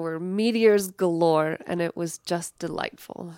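A woman speaks in an unremarkable speaking voice with an American accent, fairly low in pitch and fairly even in intonation at a fairly slow pace. The recording is very clean with a silent background and a dry, close sound with no echo. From Colorado, US. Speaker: performer and storyteller. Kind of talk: radio interview.

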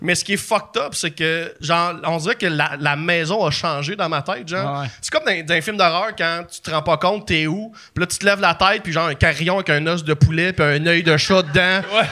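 A bright, sharp, high-pitched male voice. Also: fairly even intonation, moderate pace, hardly any pauses. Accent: Quebec. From Quebec. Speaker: comedian and documentary maker. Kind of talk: casual chat.

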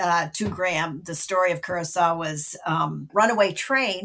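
A woman with a Canadian accent speaks at a fairly slow pace in an unremarkable speaking voice. Her pitch varies in an ordinary way. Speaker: film critic. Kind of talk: casual chat.

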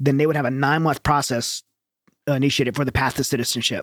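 In a very clean, dry, close recording with no echo and a silent background, a man with an American accent and a fairly high pitch talks at a very fast pace. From Southern Louisiana, Cajun. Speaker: military veteran and nonprofit founder. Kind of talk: casual interview.

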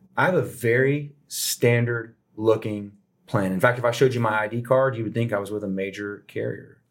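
A man with an unremarkable speaking voice and medium pitch talks at a fairly quick pace with fairly even intonation, in a very clean recording with a silent background. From Texas (Houston). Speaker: insurance broker. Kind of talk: interview.

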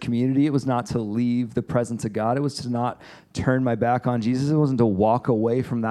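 Reading aloud in a natural voice, the speaker keeps fairly even intonation.

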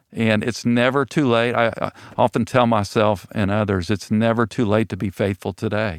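A moderate pace, fairly even intonation, and a dry, close sound with no echo. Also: man. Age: 60s. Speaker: church elder. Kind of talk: casual chat. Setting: studio. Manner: halting.

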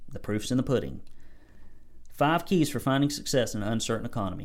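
Someone speaks with an American accent at a fairly quick pace. The pitch shows ordinary variation. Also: man. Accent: Southern US (self-described redneck). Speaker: business coach for painting contractors. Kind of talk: solo podcast monologue, business advice. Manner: animated.

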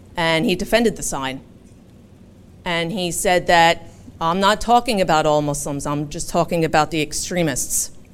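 A woman talks with a Philadelphia accent. Her voice is fairly low, with ordinary pitch variation. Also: moderate pace. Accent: Philadelphia American English. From Philadelphia, US. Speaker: interfaith community organizer. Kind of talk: public talk. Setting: live event with audience.

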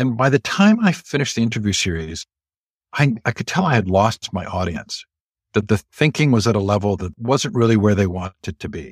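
A man with an American accent has a plain, everyday voice and talks at a fairly quick pace. The recording is very clean, with a silent background and a dry, close sound with no echo. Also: fairly low pitch for a man, lively intonation. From California, Stanford area. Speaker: education organizer and interview host. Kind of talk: interview conversation.

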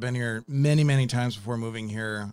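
In a very clean recording with a silent background, a man uses an ordinary speaking voice at a medium pitch with ordinary pitch variation. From Wisconsin, near Milwaukee. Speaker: podcast host and music composer. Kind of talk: casual interview chat.

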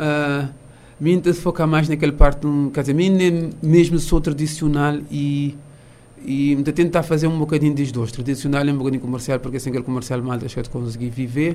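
The man's dark, mellow tone carries fairly even intonation. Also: fairly high pitch for a man, moderate pace. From Cape Verde, São Vicente. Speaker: music teacher and musician. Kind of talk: interview. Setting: studio. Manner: halting.

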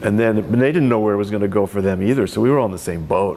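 A man's fairly low voice with ordinary pitch variation and noticeable background noise. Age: 60s. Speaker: winemaker and retired enology instructor. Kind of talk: oral history interview. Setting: library.

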